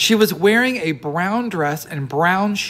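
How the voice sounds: Reading in a natural voice, the speaker uses lively intonation.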